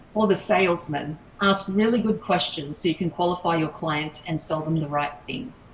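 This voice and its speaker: Noticeable background noise sits behind a woman's voice. Her pitch is fairly low, with ordinary pitch variation. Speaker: sales trainer. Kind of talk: online workshop. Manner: fast.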